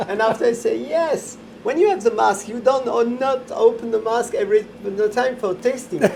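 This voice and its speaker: In a French accent, a man with an extremely high pitch speaks at a moderate pace with ordinary pitch variation. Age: 60s. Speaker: chocolatier. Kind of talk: casual interview. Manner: halting.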